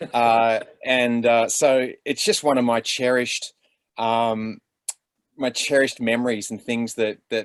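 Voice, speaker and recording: Intonation stays monotone and flat. The speaker has an Australian accent. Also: man, medium pitch for a man, fairly slow pace. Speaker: actor. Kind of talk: panel discussion. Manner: halting.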